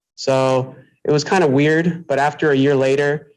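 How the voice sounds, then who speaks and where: Speaking in an American accent, a man uses a fairly high pitch. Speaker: electrical apprentice. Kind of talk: panel discussion. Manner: halting.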